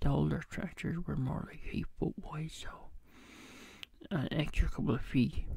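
Whispering at a fairly slow pace, a man speaks with a gentle tone. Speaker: ASMR creator. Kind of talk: casual talk to camera, ASMR whispering. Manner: gentle, soft-spoken. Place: home room. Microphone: studio mic.

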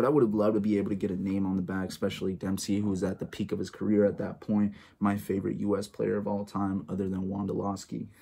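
A man rushes along at a very fast pace with hardly any pauses, his fairly low voice dark and mellow, his intonation monotone and flat. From United States, born in El Salvador. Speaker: sports YouTuber. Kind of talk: casual vlog show-and-tell. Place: home room. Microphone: phone near.

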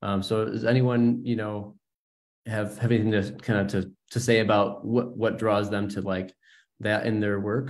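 A man at a moderate pace, fairly low in pitch, with monotone, flat intonation. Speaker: gallery director and curator. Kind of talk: online panel discussion. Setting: video call. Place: home room. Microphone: video call.

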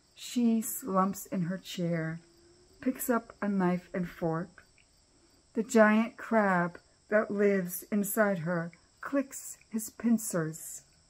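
Speaking at a very slow pace, a woman shows ordinary pitch variation. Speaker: cancer community member reading her own poems. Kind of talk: reading aloud poetry. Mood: somber, reflective. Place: home room. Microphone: webcam.

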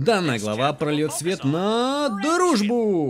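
Swinging very widely in pitch, a man with a high voice speaks over noticeable background noise. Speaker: voice actor. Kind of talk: comedic voice-over dub of a game video. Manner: playful.

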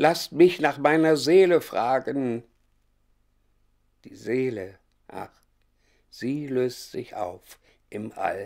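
Speaking at a very slow pace with long, frequent pauses, a man uses lively intonation. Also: big swings in loudness. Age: 80s+. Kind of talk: poetry reading.

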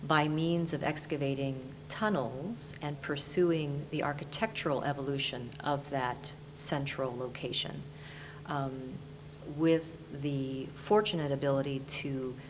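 A woman's very deep, low voice at a fairly slow pace, with fairly even intonation and noticeable background noise. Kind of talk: lecture. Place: studio. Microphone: lapel.

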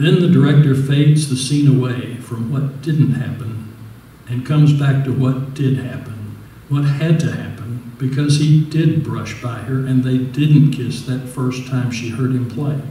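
At a fairly slow pace and with fairly even intonation, a man talks amid audible room echo. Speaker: resident reader. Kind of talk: reading an original essay aloud. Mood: wistful, gentle. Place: hall.

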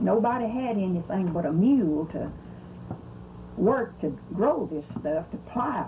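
With a Southern US accent, a woman talks at a fairly slow pace, leaving long, frequent pauses and making very wide pitch swings over light background noise. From US South, Mississippi. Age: 80s+. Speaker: elderly relative recounting family history. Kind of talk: oral history interview. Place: home room. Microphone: old recording.

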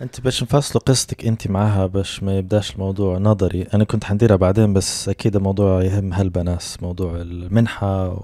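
Against a quiet background, a man speaks at a moderate pace with hardly any pauses and fairly even intonation. His fairly low voice has a dark, mellow tone and a dry sound with no echo. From Libya. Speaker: podcast host. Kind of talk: casual chat. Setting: studio. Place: home room. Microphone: handheld.

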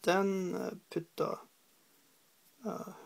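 Someone speaks at a very slow pace with vocal fry and a Norwegian accent.

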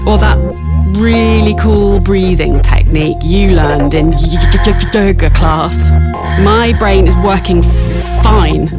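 Loud music plays in the background as the speaker goes at a very slow pace. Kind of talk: awareness campaign read. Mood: warm, amused, assertive. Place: studio.

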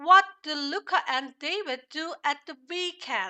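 Very slowly, a woman speaks in a high pitch. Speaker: English teacher. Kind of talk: tutorial.

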